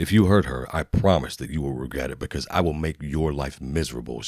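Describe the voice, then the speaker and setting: In a growling, put-on character voice, a man speaks very fast at a very deep, low pitch with ordinary pitch variation. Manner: threatening, low voice.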